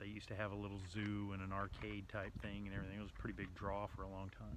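A man with vocal fry talks at a very fast pace, the sound dry with no echo and noticeable background noise. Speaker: travel vlogger. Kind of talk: casual vlog chat. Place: street. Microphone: phone near.

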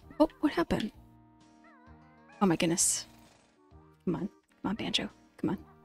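A soft-spoken woman talks at a moderate pace with very wide pitch swings and long, frequent pauses, in a dry sound with no echo and faint music in the background. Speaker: vtuber streamer. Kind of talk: relaxing let's play commentary. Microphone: studio mic.

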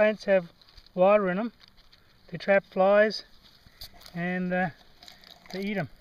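A man speaks at a fairly slow pace in a high voice. His delivery is monotone and flat, with a dry sound and no echo. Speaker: hiking vlogger. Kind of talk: casual vlog chat. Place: forest. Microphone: phone near.

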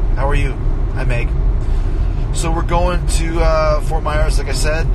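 Loud background noise around a man talking at a moderate pace. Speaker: host talking to live viewers. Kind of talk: casual vlog chat. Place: car. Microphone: phone near.

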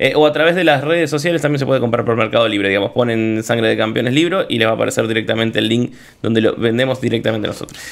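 Talking at a very fast pace with hardly any pauses, a man speaks with a Rioplatense accent. His pitch variation is ordinary. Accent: Argentine Spanish (rioplatense). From Argentina, Santa Fe. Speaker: sports journalist and book producer; sports journalist guest. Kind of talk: casual interview. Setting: studio. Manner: halting, many restarts. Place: studio. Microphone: studio mic.

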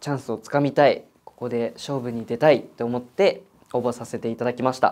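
Fairly even intonation from a man at a medium pitch and moderate pace. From Japan, Kanagawa; Japan. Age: 20s. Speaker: audition contestant. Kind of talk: self-introduction. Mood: calm, friendly, slightly shy. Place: studio.

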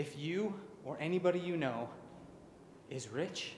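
Over light background noise and audible room echo, a man speaks with lively intonation. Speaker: vlogger. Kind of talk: casual vlog chat. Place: empty room. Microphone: phone near.

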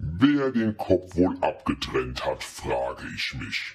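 A man talks at a very slow pace. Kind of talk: horror narration. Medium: read story. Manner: eerie, inviting.

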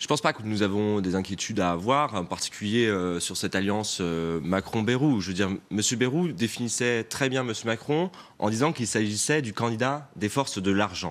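Fairly low-pitched male voice with lively intonation, moderate pace and hardly any pauses. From France, Pays de la Loire. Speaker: regional politician. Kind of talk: TV news interview. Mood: defensive, argumentative political talk. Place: studio. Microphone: lapel.

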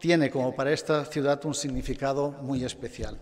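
At a moderate pace, a man talks in a plain, everyday voice with a fairly high pitch. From Spain, Barcelona. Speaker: automotive executive. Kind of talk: award acceptance speech. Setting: stage with audience.

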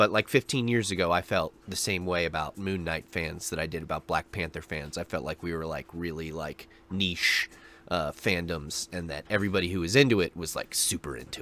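A man speaks with a very deep, low pitch and a bright, sharp tone. His pitch varies in an ordinary way, and the sound is dry with no echo. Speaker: reaction video host. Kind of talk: casual vlog chat. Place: home room. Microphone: studio mic.

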